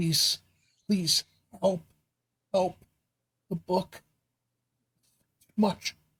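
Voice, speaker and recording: A strained, put-on character voice at middle pitch. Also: female-sounding voice. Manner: strained, pleading.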